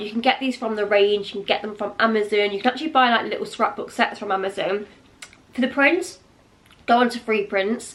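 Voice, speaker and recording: Putting on a raspy character voice, a woman speaks at a fairly high pitch. She moves at a fairly quick pace with ordinary pitch variation. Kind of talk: casual, instructional. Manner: speaking fast, rushed.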